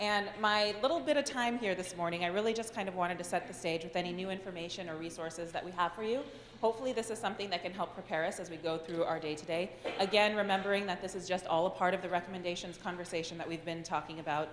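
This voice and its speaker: Noticeable background noise sits behind a woman talking at a very fast pace. Her pitch is medium and varies in an ordinary way. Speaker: government program administrator. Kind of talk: meeting presentation.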